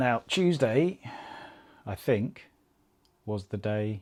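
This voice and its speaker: A soft-spoken man with an English accent talks at a fairly low pitch. The recording is very clean with a silent background. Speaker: amateur marathon runner vlogger. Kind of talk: casual vlog monologue.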